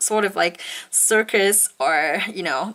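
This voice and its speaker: A woman speaks in a medium pitch with ordinary pitch variation as noticeable background noise plays behind her. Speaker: nail art youtuber. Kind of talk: product review tutorial. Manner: halting, many fillers.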